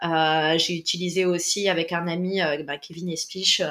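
This woman's voice has a bright, sharp tone. Her pitch is medium. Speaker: musician and music teacher. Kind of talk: interview.

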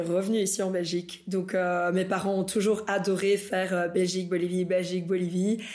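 A woman is speaking here. Her pitch is medium and her pace moderate. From Bolivia, moved to Belgium at 13. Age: 20s. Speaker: fashion designer. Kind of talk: casual interview. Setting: designer's workshop.

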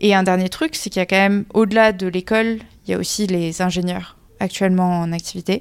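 In a very clean recording with a silent background, a woman speaks at a medium pitch and moderate pace. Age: 20s. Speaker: engineering student. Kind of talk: interview. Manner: hesitant, many fillers.

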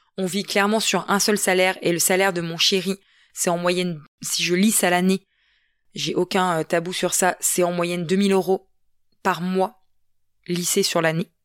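A woman of medium pitch talks at a fairly slow pace in a monotone, flat intonation. Long, frequent pauses break up her speech. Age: 30s. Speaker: podcaster, entrepreneur and mother. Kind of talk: casual solo podcast monologue. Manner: chatty with laughs and hesitations.

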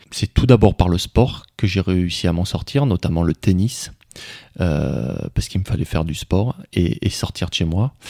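In a very clean recording with a silent background and a dry, close sound free of echo, a man speaks at a fairly slow pace with a very deep, low pitch, a dark, mellow tone and lively intonation. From southwest France (Tarn, Castres). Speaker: podcast host. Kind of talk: personal monologue.

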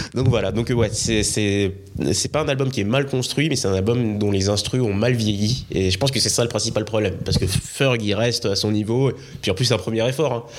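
Over noticeable background noise, a man with a fairly low voice speaks with very even loudness and hardly any pauses. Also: ordinary pitch variation, moderate pace. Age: 30s. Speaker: podcast co-host. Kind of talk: casual chat.

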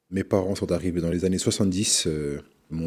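A man with a very deep, low pitch keeps to a moderate pace. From France, Vosges (Remiremont). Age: 40s. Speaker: show programmer and community organizer. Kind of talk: interview testimony. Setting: his production agency office. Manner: hesitant with fillers.

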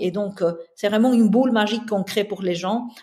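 A woman talks with a fairly high pitch and lively intonation. Her voice is somewhat breathy. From southern Spain. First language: Spanish (speaking French). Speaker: interior architect and entrepreneur. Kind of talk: interview. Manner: halting.

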